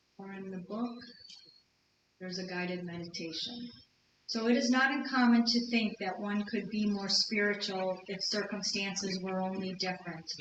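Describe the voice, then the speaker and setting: A woman speaks at a moderate pace and a medium pitch with fairly even intonation. Her loudness swings widely, and audible room echo surrounds her voice. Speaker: lecturer. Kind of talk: lecture.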